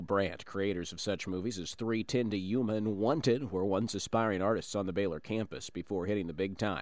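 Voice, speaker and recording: In a plain, everyday voice, a man with a fairly low pitch speaks at a fairly quick pace. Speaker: radio news reporter. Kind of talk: news reading. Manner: formal, polished, steady newscaster delivery.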